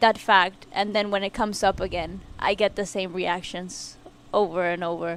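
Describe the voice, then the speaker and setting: A woman speaks at a fairly slow pace. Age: 20s. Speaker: college soccer player. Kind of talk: casual chat. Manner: halting, repeats words.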